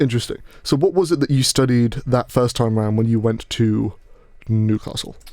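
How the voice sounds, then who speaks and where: A man with a British accent speaks at a medium pitch and a moderate pace, his tone dark and mellow. His loudness stays very even, with ordinary pitch variation. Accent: posh British, self-described. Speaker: podcast host. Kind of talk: casual chat. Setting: studio. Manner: halting, many false starts.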